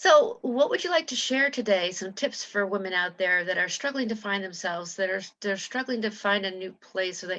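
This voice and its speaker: With an unremarkable speaking voice, a woman talks at a medium pitch and a moderate pace over a quiet background. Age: 60s. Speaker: interview host and coach. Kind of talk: interview.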